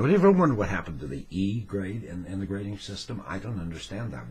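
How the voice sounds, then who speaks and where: Speaking at a very fast pace, a man's very deep, low pitch carries vocal fry. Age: 60s. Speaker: retiree. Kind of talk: casual talk to camera. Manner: wry, rambling.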